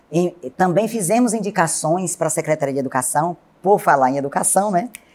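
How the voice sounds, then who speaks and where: In an ordinary speaking voice, a woman talks at a fairly quick pace with a fairly low pitch. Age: 60s. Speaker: city councillor and teacher. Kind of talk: TV interview. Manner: formal.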